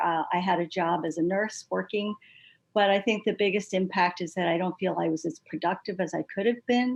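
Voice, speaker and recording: At a moderate pace, a woman talks in a plain, everyday voice, medium in pitch, with fairly even intonation. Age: 60s. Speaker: patient advocate, retired nurse. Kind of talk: panel discussion testimony.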